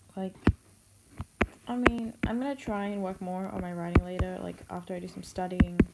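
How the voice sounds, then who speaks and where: Noticeable background noise sits behind the recording. A woman speaks with fairly even intonation. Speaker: art streamer. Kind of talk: casual chat. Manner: hesitant, many fillers.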